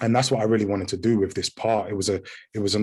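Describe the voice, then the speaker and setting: A man with a British accent against a quiet background. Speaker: actor. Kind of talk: interview. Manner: halting, many repeated words.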